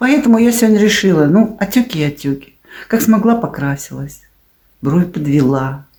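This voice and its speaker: A woman speaks at a medium pitch with a dark, mellow tone and a somewhat breathy quality. Her pitch swings very widely. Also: moderate pace. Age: 60s. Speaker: video blogger. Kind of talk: casual vlog monologue.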